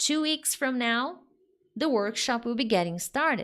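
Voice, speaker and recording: With a Brazilian accent, a woman speaks at a high pitch with lively intonation. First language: Portuguese. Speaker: English teacher. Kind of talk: live online lesson. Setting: live stream. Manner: normal pace, not fast.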